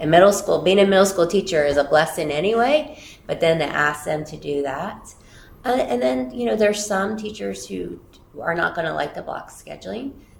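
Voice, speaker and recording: Audible room echo and noticeable background noise surround a woman with a fairly low pitch. Her voice makes very wide pitch swings and big swings in loudness. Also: moderate pace. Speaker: school district superintendent. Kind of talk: interview. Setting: office, livestreamed interview.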